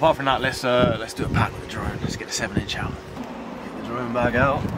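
With fairly even intonation, this man talks very fast while noticeable background noise carries on. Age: 20s. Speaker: drone pilot vlogger. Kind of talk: vlog voiceover narration.

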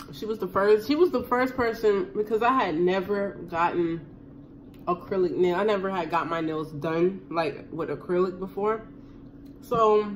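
The background carries light noise. A woman talks at a moderate pace. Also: lively intonation. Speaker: vlogger. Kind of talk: casual vlog chat while eating. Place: kitchen. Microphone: phone near.

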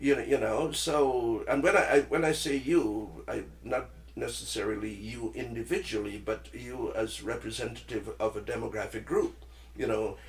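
Noticeable background noise sits under a man speaking at a moderate pace. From Trinidad and Tobago. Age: 70s. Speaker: retired teacher and calypso musician. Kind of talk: casual chat.

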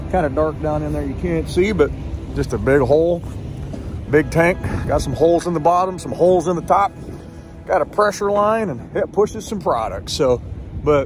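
Long, frequent pauses break up the speech, which has a dry sound with no echo and clear music in the background. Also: man, moderate pace. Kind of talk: casual vlog chat. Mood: cheerful, upbeat. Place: open country. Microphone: phone near.

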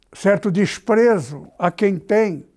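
In a very clean recording with a silent background, the words come out very slowly. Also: man. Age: 80s+. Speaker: pastor. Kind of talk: sermon.

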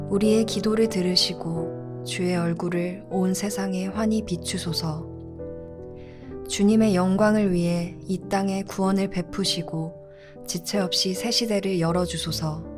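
Over music in the background, a woman speaks at a very slow pace in a fairly low voice with ordinary pitch variation. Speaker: church youth narrator reading scripture and evening prayer. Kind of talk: evening prayer narration with scripture reading.

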